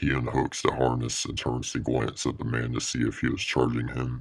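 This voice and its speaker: Using a put-on character voice, a man speaks with a very deep, low pitch at a moderate pace. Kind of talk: horror narration. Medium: read story.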